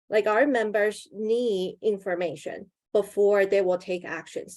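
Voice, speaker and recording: A woman speaks in a Mandarin accent at a medium pitch, with ordinary pitch variation. Her tone is dark and mellow, and her pace is fairly slow. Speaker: union campaigner. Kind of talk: webinar panel presentation.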